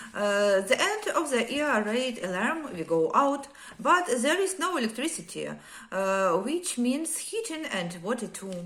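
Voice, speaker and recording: A woman's high-pitched voice with very wide pitch swings and a fairly slow pace. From Ukraine. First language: Ukrainian or Russian. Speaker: war survivor telling her story. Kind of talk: personal testimony. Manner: halting, many hesitations.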